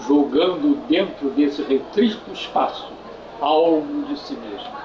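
Noticeable background noise runs under a man who talks at a very slow pace. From Brazil. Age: 80s+. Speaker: filmmaker. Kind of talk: interview answer. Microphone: old recording.

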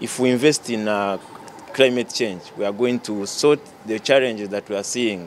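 A man's fairly low-pitched, plain, everyday voice at a moderate pace with ordinary pitch variation, over light background noise. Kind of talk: interview answer. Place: hall. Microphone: handheld.

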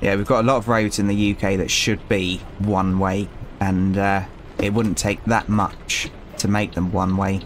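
Against noticeable background noise, a man with a British accent talks at a fairly low pitch and a fairly slow pace, his intonation monotone and flat and his loudness very even. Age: 30s. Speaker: gaming youtuber, former truck driver. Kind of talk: gameplay commentary. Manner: hesitant, many fillers.

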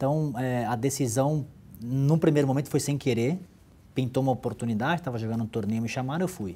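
Ordinary pitch variation and a fairly quick pace in a man's dark, mellow tone. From Santos, São Paulo, Brazil; São Paulo, Brazil. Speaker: business executive, former athlete; interview guest. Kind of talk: interview. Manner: halting, many repetitions. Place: office. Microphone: lapel.

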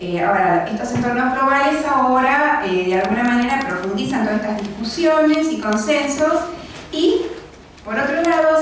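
A woman's high voice at a moderate pace, with strong room echo and light background noise. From Argentina, Quilmes (Buenos Aires). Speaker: library director. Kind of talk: lecture. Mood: warm, grateful. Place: meeting room.

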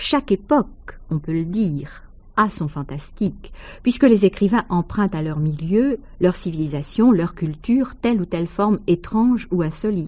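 A woman is speaking in a somewhat breathy voice. Her tone is dark and mellow. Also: medium pitch for a woman, lively intonation, moderate pace. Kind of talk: measured literary essay read aloud, scripted narration. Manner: formal, even, didactic.

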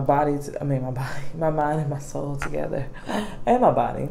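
Over light background noise, a woman speaks at a moderate pace with a very deep, low pitch. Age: 30s. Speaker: beauty YouTuber; vlogger. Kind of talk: casual vlog chat. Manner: rambling with many fillers. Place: home room. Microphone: phone near.

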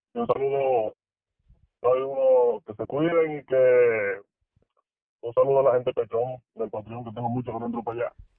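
At a moderate pace and medium pitch, a man talks with fairly even intonation and long, frequent pauses, the sound dry with no echo and the background quiet. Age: 20s. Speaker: caller, expectant father. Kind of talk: casual chat. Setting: phone call. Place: studio.

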